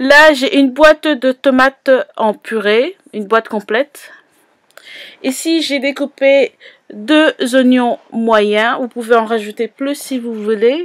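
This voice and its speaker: Recorded dry and close with no echo, a woman talks very slowly in a high voice with ordinary pitch variation. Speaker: cooking youtuber. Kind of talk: cooking tutorial.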